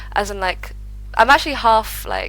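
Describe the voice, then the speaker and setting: A woman speaks with a British accent while music plays in the background. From UK, London. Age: 20s. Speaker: remote web designer planning a move abroad. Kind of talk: interview conversation.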